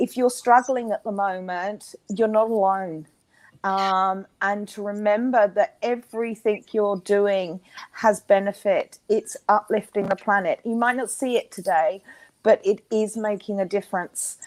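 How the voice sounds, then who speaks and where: A woman with an Australian accent, medium in pitch, at a fairly slow pace with fairly even intonation, in a dry, close sound with no echo. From Australia, Queensland. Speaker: intuitive healer and coach. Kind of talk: interview.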